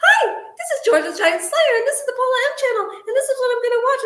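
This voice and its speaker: This put-on character voice is squeaky and extremely high-pitched, rattling along at a very fast pace. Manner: fast, sped up.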